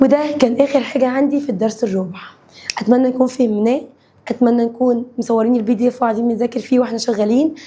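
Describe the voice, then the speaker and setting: A woman with an Egyptian accent speaks in an animated tone at a high pitch. Her pace is fairly quick and her loudness very even. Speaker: science teacher. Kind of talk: lecture.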